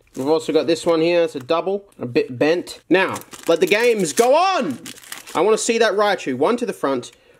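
Over noticeable background noise, a man with a high pitch talks at a moderate pace with lively intonation. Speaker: YouTuber opening card packs. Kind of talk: casual unboxing commentary. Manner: animated.

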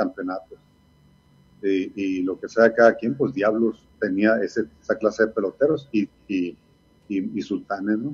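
Fairly slow speech from a man, his pitch fairly low and ordinary in its variation. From Sonora, Mexico (Ciudad Obregón); Sonora. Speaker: retired baseball player and coach; interviewee. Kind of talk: interview. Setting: video call. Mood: reflective, nostalgic. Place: home room. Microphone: video call.

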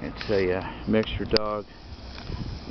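Loud background noise sits behind a man whose voice is recorded dry, with no echo. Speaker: dog owner vlogger. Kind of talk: casual vlog chat. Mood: relaxed, pleased. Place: open country. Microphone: phone near.

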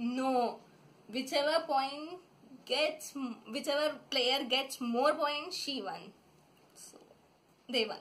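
Her high-pitched voice moves at a very slow pace with long, frequent pauses. The woman's loudness swings widely. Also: ordinary pitch variation. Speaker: vlogger. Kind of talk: casual talk to camera, playful sibling banter. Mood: playful, laughing. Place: home room. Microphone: phone near.

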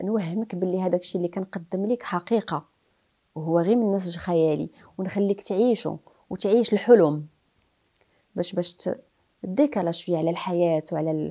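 A woman of medium pitch talks at a moderate pace with ordinary pitch variation, a dark, mellow tone and long, frequent pauses against a quiet background. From Morocco. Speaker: actress. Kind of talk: interview. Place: home room. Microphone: lapel.

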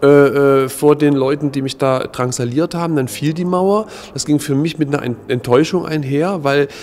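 Speaking at a moderate pace, a man uses a fairly high pitch and fairly even intonation. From East Germany. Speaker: contemporary witness, former political prisoner; witness. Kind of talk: interview. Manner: halting, many filler sounds. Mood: calm, reflective. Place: hall.

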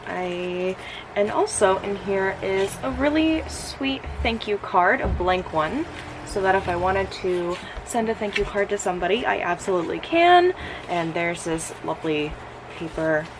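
Fairly slow female speech with noticeable background noise around it. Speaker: vlogger. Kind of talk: casual vlog chat. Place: home room. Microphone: phone near.

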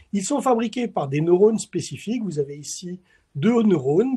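A man with a dark, mellow tone speaks with lively intonation over a quiet background. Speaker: chemistry professor; webinar presenter. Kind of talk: lecture. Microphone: webcam.

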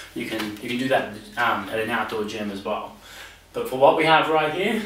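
Delivered at a moderate pace with ordinary pitch variation, the voice carries audible room echo and light background noise. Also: man. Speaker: personal trainer. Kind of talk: tutorial. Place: home room.

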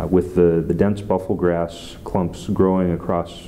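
Over light background noise, a man speaks at a moderate pace. His voice is very deep and low. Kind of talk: interview answer. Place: office.

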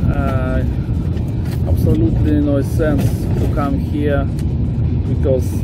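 A man talking at a very slow pace, dry sound with no echo, music in the background. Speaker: travel vlogger. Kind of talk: casual travel commentary. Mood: unimpressed, dismissive. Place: open country. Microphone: phone near.

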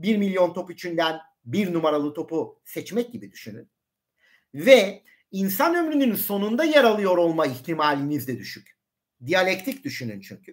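A man's high-pitched, animated voice at a moderate pace, with very wide pitch swings and big swings in loudness, over a quiet background. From Turkey. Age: 40s. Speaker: science YouTuber. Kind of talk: live stream talk; live stream lecture chat. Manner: hesitant fillers. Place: home room. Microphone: webcam.

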